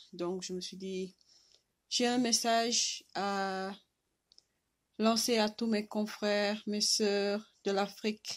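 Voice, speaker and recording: On a very clean recording with a silent background, a woman speaks very slowly at a medium pitch with monotone, flat intonation. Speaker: vlogger. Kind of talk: impassioned video message. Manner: halting, with repetitions.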